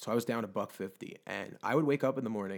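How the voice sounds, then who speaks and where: A man talks at a fairly quick pace in a normal speaking voice. His pitch variation is ordinary. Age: 20s. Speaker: weight loss story guest. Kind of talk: casual interview.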